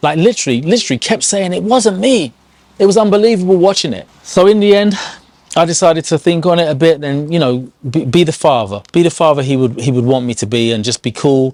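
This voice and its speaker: A man with a fairly high voice talks very fast with very wide pitch swings. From England. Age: 50s. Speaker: life coach. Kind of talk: casual talk to camera. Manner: hesitant, conversational.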